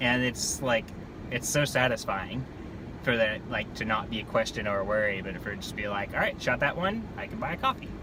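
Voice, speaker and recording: Against noticeable background noise, a man speaks at a fairly quick pace, with a medium pitch and ordinary pitch variation. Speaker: vlogger and real estate photographer. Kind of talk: casual driving vlog monologue. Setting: in a car. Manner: fast.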